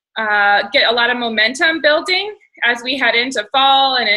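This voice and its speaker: This woman speaks at a high pitch. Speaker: team leader hosting a coaching call. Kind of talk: team conference call.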